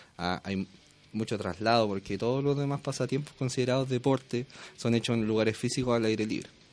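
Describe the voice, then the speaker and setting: A man with an ordinary speaking voice talks at a fairly quick pace. His pitch is medium and his intonation fairly even. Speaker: esports community representative. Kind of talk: casual interview.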